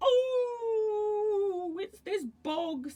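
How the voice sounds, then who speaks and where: A woman puts on a squeaky character voice. Her pitch is extremely high. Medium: read story.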